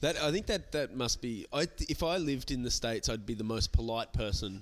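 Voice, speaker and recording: A moderate pace and ordinary pitch variation, with an Australian accent. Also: man. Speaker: podcast host, comedian. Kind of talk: casual chat. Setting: comedy club venue.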